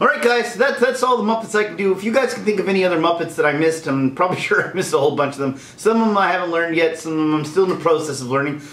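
The delivery is very fast with hardly any pauses and lively intonation. Room echo is audible. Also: man, high pitch for a man. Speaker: voice impressionist. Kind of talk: casual talk to camera. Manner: upbeat. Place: home room.

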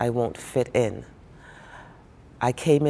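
A woman speaks at a very slow pace in a very deep, low pitch with a dark, mellow tone and ordinary pitch variation. Light background noise sits behind her. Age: 50s. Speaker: mature college student. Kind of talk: interview answer. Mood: warm, cheerful. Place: studio. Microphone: lapel.

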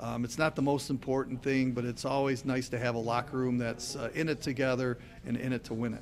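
Over music in the background, the voice moves at a fairly quick pace with monotone, flat intonation. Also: man. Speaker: hockey radio play-by-play announcer. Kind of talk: interview answer. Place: cafe. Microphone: handheld.

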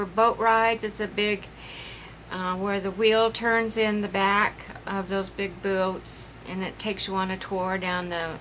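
Light background noise accompanies a woman. She speaks at a fairly slow pace with fairly even intonation. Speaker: craft vlogger. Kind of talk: casual vlog chat. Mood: rueful, laughing at mishap. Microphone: phone near.

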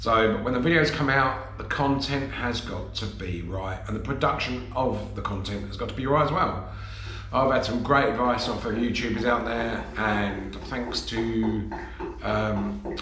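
A man talks at a fairly slow pace, with audible room echo. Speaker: campervan vlogger. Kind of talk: casual vlog chat. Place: home room. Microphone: phone near.

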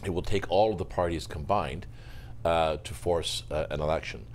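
A man speaks at a moderate pace with a very deep, low pitch and some vocal fry. His intonation is lively, and there's light background noise. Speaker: journalist. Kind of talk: panel discussion. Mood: measured, analytical. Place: studio. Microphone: lapel.

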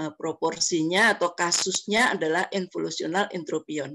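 Against a quiet background, a woman with a fairly low pitch speaks with vocal fry. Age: old. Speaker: ophthalmologist. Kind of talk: lecture. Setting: video call. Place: home room. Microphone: webcam.

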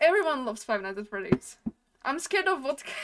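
A woman at a fairly quick pace, fairly high in pitch with very wide pitch swings, over light background noise. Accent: non-native. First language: not English. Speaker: gamer. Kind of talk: casual gameplay commentary. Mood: playful, nervous excitement. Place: home room. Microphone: studio mic.

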